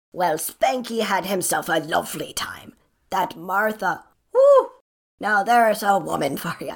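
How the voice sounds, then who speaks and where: Using a put-on character voice, a woman talks at a moderate pace with a raspy, medium-pitched sound. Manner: brash, rude, cheeky.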